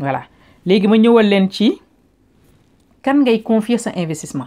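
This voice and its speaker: With a Senegalese accent, a woman speaks fairly quickly in a dark, mellow tone with ordinary pitch variation, on a very clean recording with a silent background. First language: Wolof (speaking French). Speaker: online business vlogger. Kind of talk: casual advice vlog, Wolof-French code-switching.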